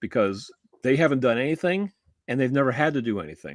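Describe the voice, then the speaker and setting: The speaker uses lively intonation at a moderate pace. The sound is dry and close with no echo, on a very clean recording with a silent background. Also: man. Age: 60s. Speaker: talk show co-host. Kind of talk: casual discussion. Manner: halting, many fillers and restarts.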